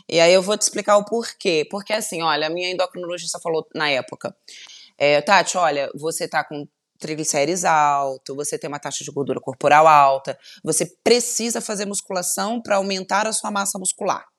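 A woman with a slight Carioca accent, a fairly low pitch, ordinary pitch variation, a fairly quick pace, and big swings in loudness, in a dry, close sound with no echo. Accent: light carioca. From Volta Redonda, interior of Rio de Janeiro state, Brazil. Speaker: TV journalist and presenter. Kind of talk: casual interview chat.

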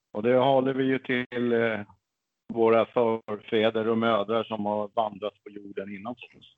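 Fairly slow, monotone speech from a man with flat intonation. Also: medium pitch for a man. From Stockholm, Sweden. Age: 50s. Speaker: pagan religious officiant. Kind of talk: interview.

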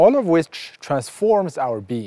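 The voice has a dark, mellow tone with very wide pitch swings. The sound is dry and close with no echo. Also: man. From Morocco (Casablanca). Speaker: professor. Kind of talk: scripted narration. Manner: formal.

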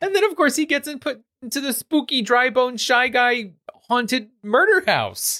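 A man with an American accent speaks in a raised, projected voice at a moderate pace. His pitch is extremely high, and his tone is bright and sharp. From Queens, New York. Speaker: podcast host. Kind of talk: casual chat.

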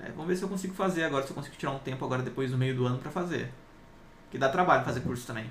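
Very rapid speech from a man, noticeable background noise and audible echo from the room around it. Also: fairly high pitch for a man, ordinary pitch variation. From inland São Paulo state, Brazil. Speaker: tech YouTuber and interview host. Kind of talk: casual interview chat.

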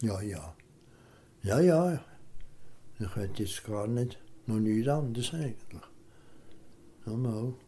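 A man's medium-pitched voice, very slow and somewhat breathy, with lively intonation, a dark, mellow tone and long, frequent pauses. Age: 80s+. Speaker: retired farmer. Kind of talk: interview. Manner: halting; calm.

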